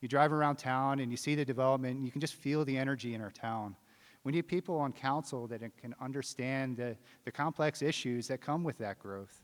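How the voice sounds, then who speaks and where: Using an ordinary speaking voice, a man with an American accent talks at a fairly quick pace, medium in pitch with ordinary pitch variation. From US Mid-Atlantic, rural Maryland. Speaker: city council candidate. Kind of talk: candidate forum statement. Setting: theater stage with audience.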